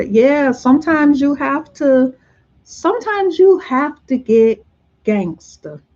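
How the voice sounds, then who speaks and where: Soft-spoken and somewhat breathy, a woman talks at a very slow pace with lively intonation. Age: 50s. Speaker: vlogger. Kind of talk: casual chat. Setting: livestream.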